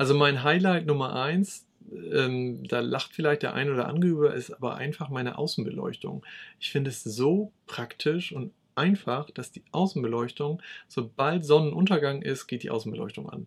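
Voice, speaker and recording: Pitch varies in an ordinary way at a moderate pace. There is a somewhat breathy quality to the voice. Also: man, fairly high pitch for a man. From East Frisia, northern Germany. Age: 30s. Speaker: YouTuber on smart home tech. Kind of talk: casual chat.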